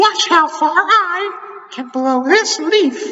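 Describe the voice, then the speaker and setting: A put-on character voice, squeaky and extremely high in pitch, speaks at a very slow pace. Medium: read story. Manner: plucky, confident.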